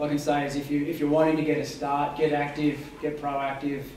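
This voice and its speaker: A man talks at a moderate pace with monotone, flat intonation. The room has audible echo, and there is light background noise. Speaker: guest, journalist. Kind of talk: talk to students. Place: hall. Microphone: camera far.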